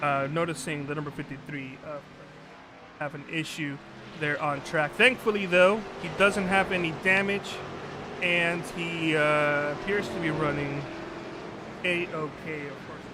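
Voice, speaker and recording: With audible room echo and noticeable background noise, a man speaks at a fairly high pitch and a fairly slow pace with ordinary pitch variation, big swings in loudness and long, frequent pauses. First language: Spanish. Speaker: sim racing commentator and producer. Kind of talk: live commentary.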